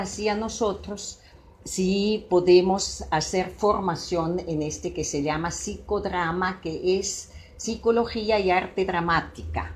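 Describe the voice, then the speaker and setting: Speaking very slowly in a Swiss accent, a woman holds a medium pitch with ordinary pitch variation. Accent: non-native Spanish, Swiss. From Switzerland. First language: Swiss German (speaking Spanish). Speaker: psychologist and psychodramatist. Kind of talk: talk to an audience. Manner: halting, with fillers.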